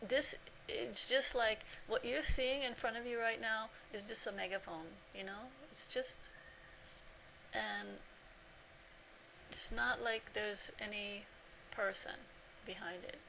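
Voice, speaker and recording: A woman talks fairly slowly, leaving long, frequent pauses amid noticeable background noise. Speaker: spiritual teacher. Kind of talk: spiritual talk to camera. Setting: self-recorded video. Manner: halting, sometimes stuck on words.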